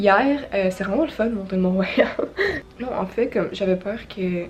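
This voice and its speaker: A Quebec accent at a moderate pace, with noticeable background noise. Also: woman. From Quebec, near Montreal. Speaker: vlogger. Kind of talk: casual vlog talk.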